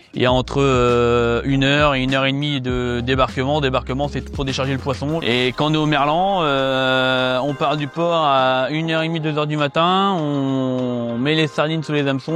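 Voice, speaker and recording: A man's fairly high voice at a moderate pace with fairly even intonation, music playing in the background. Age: 30s. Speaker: fisherman and boat owner. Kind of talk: interview testimony. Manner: hesitant, many filler sounds.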